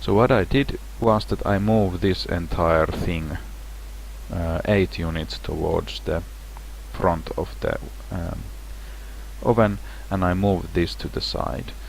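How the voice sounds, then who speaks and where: Amid noticeable background noise and audible room echo, a man with a non-native accent speaks in a very deep, low pitch at a fairly slow pace, with very wide pitch swings and long, frequent pauses. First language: not English. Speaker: game level designer. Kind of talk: tutorial. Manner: casual, halting with restarts.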